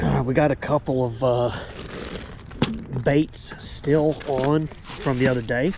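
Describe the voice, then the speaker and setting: A man speaks very slowly at a medium pitch, with fairly even intonation and long, frequent pauses. Noticeable background noise runs under his voice. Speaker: fishing channel host. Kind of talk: casual vlog narration. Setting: outdoors at a lake.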